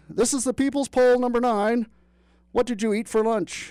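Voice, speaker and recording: A shrill, shouted put-on character voice, female-sounding and fairly high in pitch. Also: moderate pace. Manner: yelling.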